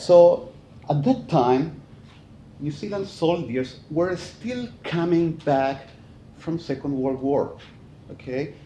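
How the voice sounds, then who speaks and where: Speaking in a Chilean accent, a man has a high pitch and a dark, mellow tone. His pace is very slow, his intonation is lively, and there is audible room echo. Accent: Chilean Spanish accent, noticeable. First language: Spanish. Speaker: forestry professor. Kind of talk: conference talk. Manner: hesitant, many fillers.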